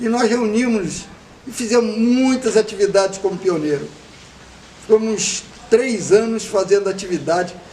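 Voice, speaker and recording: Noticeable background noise sits behind a man's high-pitched voice. He talks at a moderate pace with ordinary pitch variation. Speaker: veteran scout leader. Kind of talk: oral history interview. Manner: conversational, with hesitations.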